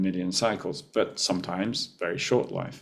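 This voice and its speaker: This man has an ordinary speaking voice, fairly low in pitch, and talks at a moderate pace. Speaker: professor. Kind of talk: lecture.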